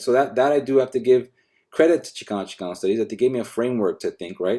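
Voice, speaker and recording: With an American accent, a man speaks at a very fast pace in a dark, mellow tone, his medium pitch making very wide swings. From Los Angeles, Echo Park. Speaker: professor. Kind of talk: academic panel conversation. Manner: halting, many repetitions and fillers.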